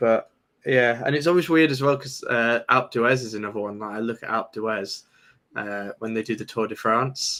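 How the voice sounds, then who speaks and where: A man's bright, sharp voice in a British accent with ordinary pitch variation. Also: medium pitch for a man, moderate pace. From Britain. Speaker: crypto trader and YouTuber. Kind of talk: casual chat.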